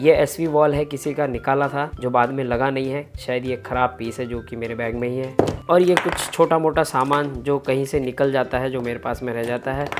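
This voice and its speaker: Music plays in the background while the speech moves at a moderate pace with hardly any pauses. The intonation stays fairly even. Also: man, medium pitch for a man. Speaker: appliance repair technician. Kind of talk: tutorial.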